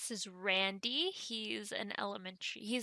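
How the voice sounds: This is a natural reading voice. The words are read out in that manner.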